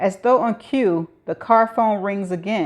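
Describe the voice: What is heard here is plain reading aloud.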